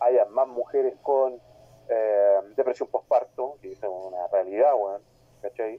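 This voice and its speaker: A man with a Chilean accent speaks at a moderate pace in a dark, mellow tone, with medium pitch and lively intonation. The sound is dry and close with no echo. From Talcahuano, southern Chile. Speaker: podcast panelist, wrestling personality. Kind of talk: casual chat.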